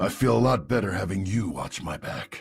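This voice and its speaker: A man's raspy, put-on character voice, fairly low in pitch, with lively intonation at a moderate pace. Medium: video game. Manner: gruff.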